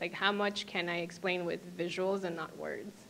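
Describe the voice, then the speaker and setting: Speaking in an American accent, a woman talks at a moderate pace with a fairly low pitch, vocal fry and monotone, flat intonation. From Miami, Florida. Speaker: UX designer. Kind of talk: panel Q&A. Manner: hesitant, many fillers.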